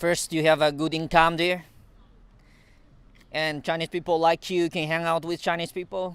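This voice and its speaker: A man with a high voice talks at a moderate pace, leaving long, frequent pauses. His intonation is monotone and flat. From China. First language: Mandarin. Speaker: engineer. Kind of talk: interview. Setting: outdoors in a park. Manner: halting.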